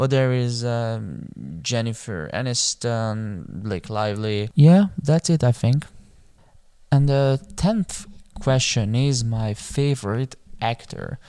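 A man's medium-pitched voice with a dark, mellow tone and lively intonation, at a very slow pace on a very clean recording with a silent background. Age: 20s. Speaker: podcaster. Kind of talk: casual monologue. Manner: halting.

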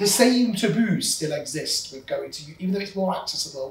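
Over noticeable background noise, a man with a high pitch speaks at a moderate pace and with lively intonation. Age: 30s. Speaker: podcast host, business owner. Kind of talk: interview conversation.

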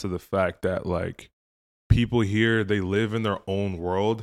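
Fairly low in pitch, a man talks in an ordinary speaking voice with an American accent. His moderate pace and fairly even intonation come through on a very clean recording with a silent background. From Minnesota, US. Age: 20s. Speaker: content creator. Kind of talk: casual chat.

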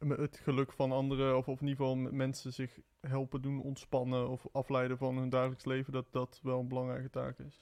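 A man talks at a fairly quick pace with hardly any pauses. His intonation is monotone and flat. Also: medium pitch for a man. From southern Netherlands, Eindhoven. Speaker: singer-songwriter, conservatory student. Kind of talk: casual chat.

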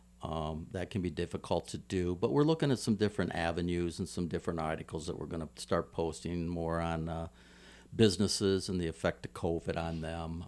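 In an American accent, a man talks at a fairly quick pace. His pitch is very deep and low, and his intonation is fairly even. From Ohio, US Midwest. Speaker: navy veteran and conservative news site founder. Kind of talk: casual interview.

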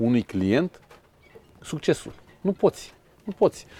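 The sound is dry and close, free of echo. A man's medium-pitched voice has a dark, mellow tone. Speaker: sailing school founder and former lawyer. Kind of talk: interview.

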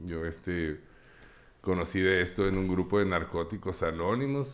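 A man's very deep, low voice moves at a fairly slow pace with ordinary pitch variation. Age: 50s. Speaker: recovering addict and psychologist. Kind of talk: testimony.

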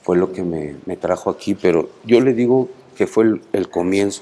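A man with a Mexico City accent speaks at a moderate pace with ordinary pitch variation. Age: 50s. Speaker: prison inmate. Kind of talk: interview.

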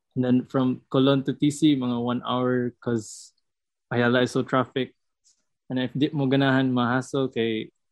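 Speaking with a Visayan Filipino accent, a man talks at a moderate pace and medium pitch in a monotone, flat intonation. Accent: Filipino (Cebuano) English. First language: Cebuano. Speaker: student podcast co-host. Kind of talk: casual chat.

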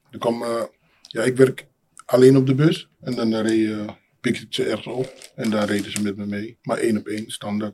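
The voice has a dark, mellow tone and fairly even intonation, moving at a moderate pace with big swings in loudness. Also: man, medium pitch for a man. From Amsterdam city centre, born in Suriname. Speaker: building maintenance technician. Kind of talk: casual interview conversation.

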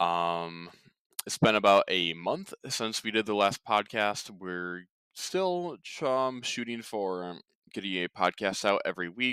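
On a very clean recording with a silent background and a dry, close sound with no echo, a man speaks at a fairly slow pace in a fairly low pitch, with a bright, sharp tone and lively intonation. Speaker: ministry podcast host. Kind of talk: religious podcast talk. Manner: halting, many fillers.

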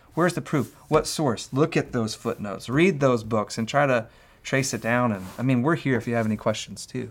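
A man talks at a fairly quick pace in a plain, everyday voice. His pitch is medium, with ordinary variation. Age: 30s. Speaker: pastor. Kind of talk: casual chat.

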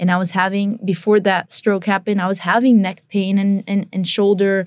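A woman speaks at a moderate pace and medium pitch, with a monotone, flat intonation. The recording is very clean, with a silent background. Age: 20s. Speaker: professional Muay Thai and kickboxing fighter. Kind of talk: interview.

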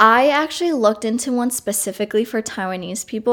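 A woman's plain, everyday voice at a moderate pace, with ordinary pitch variation, on a very clean recording with a silent background. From US Northeast, Long Island, New York. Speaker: college student. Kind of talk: casual interview.

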